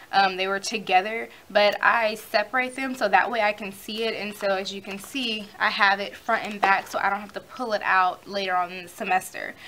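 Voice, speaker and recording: A woman speaks at a fairly quick pace with hardly any pauses, her medium pitch carried by fairly even intonation. Her loudness swings widely, and there is noticeable background noise. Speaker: college student vlogger. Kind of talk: tutorial.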